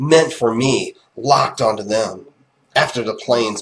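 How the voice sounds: Quiet background beneath a natural reading voice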